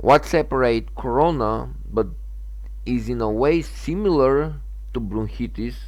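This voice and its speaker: A man with a Macedonian accent at a fairly slow pace, with audible room echo. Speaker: gaming channel owner. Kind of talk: opinion monologue. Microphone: bad sound at the very beginning.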